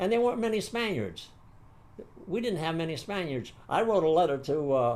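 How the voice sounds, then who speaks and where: With audible room echo, a man speaks at a moderate pace in a high voice with very wide pitch swings. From San Francisco, US. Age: 80s+. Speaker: war veteran. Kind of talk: interview. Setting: seated interview. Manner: halting.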